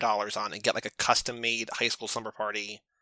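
A man's bright, sharp voice at a fairly quick pace, very clean and dry, close with no echo, over a silent background. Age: 30s. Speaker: podcast co-host, guest. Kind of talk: casual chat.

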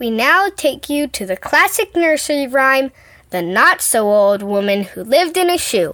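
A put-on character voice at a moderate pace with very wide pitch swings, on a very clean recording with a silent background. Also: woman, high pitch for a woman. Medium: audio drama. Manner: brisk, matter-of-fact, impatient.

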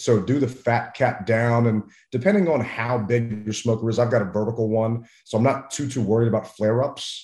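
A man with an American accent and an unremarkable speaking voice talks at medium pitch and a moderate pace. His pitch varies in an ordinary way against a quiet background. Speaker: barbecue and tailgating expert. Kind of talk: casual interview.

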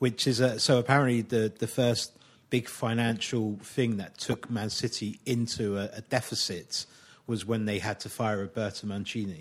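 A man with a plain, everyday voice and medium pitch talks at a moderate pace on a very clean recording with a silent background. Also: fairly even intonation. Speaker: football pundit. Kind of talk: casual chat.

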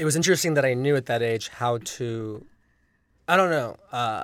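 A man with an American accent talks at a fairly quick pace in a normal speaking voice, medium in pitch, with lively intonation. The recording is very clean, with a silent background. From Los Angeles. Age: 40s. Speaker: film director. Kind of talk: casual chat.

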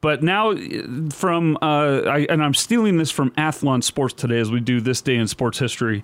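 This man has an ordinary speaking voice with a fairly high pitch. He keeps a moderate pace and lively intonation. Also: very even loudness. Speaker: podcast host. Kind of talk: solo sports commentary.

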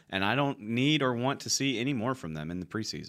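Over a silent background in a very clean recording, a man talks at a very fast pace with very wide pitch swings. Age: 20s. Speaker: sports writer and podcast panelist. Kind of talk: casual chat.

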